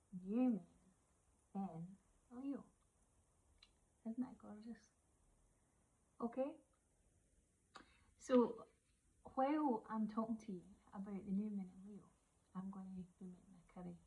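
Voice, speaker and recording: A woman with a Scottish accent speaks at a moderate pace in a fairly high pitch and dark, mellow tone, with ordinary pitch variation, big swings in loudness and long, frequent pauses. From Scotland. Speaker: witch and oracle card reader. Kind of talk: casual chat. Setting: kitchen while cooking.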